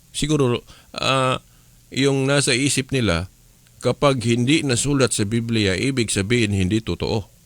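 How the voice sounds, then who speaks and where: An unremarkable speaking voice from a man of medium pitch, with ordinary pitch variation at a moderate pace, comes through on a very clean recording with a silent background. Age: 50s. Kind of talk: radio religious teaching.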